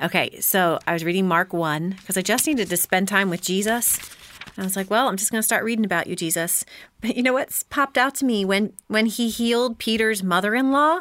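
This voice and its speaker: With an American accent, a woman speaks at a fairly quick pace in an unremarkable speaking voice, medium in pitch with ordinary pitch variation. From Philadelphia suburbs. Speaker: podcast host and mother. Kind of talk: casual chat.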